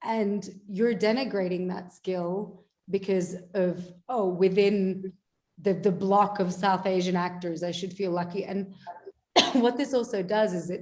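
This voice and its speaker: A woman's dark, mellow voice at medium pitch, with an Australian accent, fairly even intonation and a fairly slow pace. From Australia, Melbourne. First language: Bengali. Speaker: actor. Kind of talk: panel discussion.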